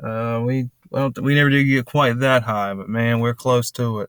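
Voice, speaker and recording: A very slow man's voice at medium pitch in a Southern US accent, with fairly even intonation, on a very clean recording with a silent background. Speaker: finance commentator. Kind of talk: casual commentary over news clip.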